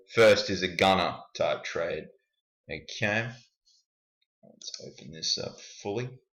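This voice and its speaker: A man is speaking. He has an Australian accent. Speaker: forex trader and YouTuber. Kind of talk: screen-share tutorial.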